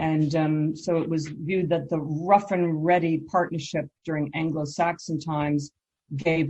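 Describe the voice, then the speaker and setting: A somewhat breathy, dark, mellow voice with an American accent, at a moderate pace in a monotone, flat intonation. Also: woman. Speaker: law professor. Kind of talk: conference presentation. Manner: brisk.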